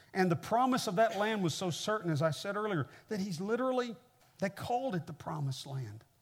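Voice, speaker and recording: A man with a high-pitched voice speaks at a fairly quick pace, his intonation lively. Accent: American. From Kansas City, Missouri, US Midwest. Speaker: pastor, guest preacher. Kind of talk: sermon. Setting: church with audience.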